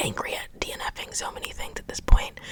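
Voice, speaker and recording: Against noticeable background noise, a woman is whispering at a moderate pace. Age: 20s. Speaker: ASMR creator and book reviewer. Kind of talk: casual chatty talk to camera. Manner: opinionated, exasperated, expressive.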